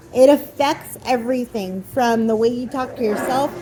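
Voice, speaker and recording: Noticeable background noise sits behind the speech. A woman talks at a high pitch. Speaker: podcast host. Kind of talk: movie review monologue. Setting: recording on camera. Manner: slow.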